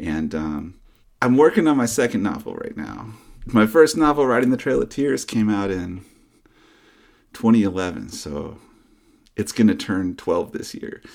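A man with an American accent speaks with vocal fry and very wide pitch swings. His loudness swings widely, broken by long, frequent pauses. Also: medium pitch for a man, moderate pace. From US Southeast (North Carolina, Georgia). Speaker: novelist. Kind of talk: interview. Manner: halting, many restarts.

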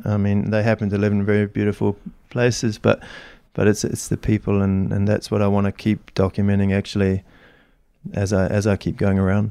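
A man with a New Zealand accent talks at a fairly quick pace and a fairly low pitch, in a dark, mellow tone. His intonation is monotone and flat, his loudness very even, and the sound dry and close with no echo. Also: quiet background. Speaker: snowboarding photographer. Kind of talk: casual interview chat. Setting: in person at a Swiss ski resort. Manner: halting, with frequent repetitions.

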